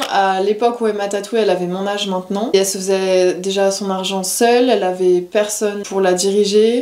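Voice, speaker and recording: Noticeable background noise sits behind a woman speaking at medium pitch. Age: 20s. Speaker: tattoo artist. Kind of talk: interview. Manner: casual, lively.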